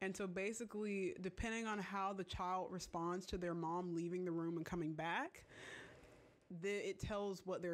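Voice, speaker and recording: With an unremarkable speaking voice, a woman talks at medium pitch and a moderate pace, keeping very even loudness and fairly even intonation. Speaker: video creator.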